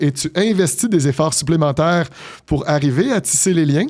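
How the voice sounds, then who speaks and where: Speaking at a moderate pace, a man uses a fairly high, dark and mellow voice with lively intonation. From Quebec, Montreal. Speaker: business executive. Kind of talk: interview. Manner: articulate.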